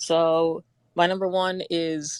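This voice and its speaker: A woman speaks with a Bronx accent at a fairly low pitch. The recording is very clean and dry, close with no echo and a silent background. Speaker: movie fan panelist. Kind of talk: casual chat.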